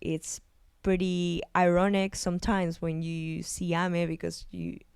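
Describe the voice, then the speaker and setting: A woman speaks slowly-ish, at a fairly slow pace, with a Spanish accent. The recording is very clean with a silent background. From Argentina. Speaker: psychologist and video essayist. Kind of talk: video essay analysis. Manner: halting, with fillers and repetitions.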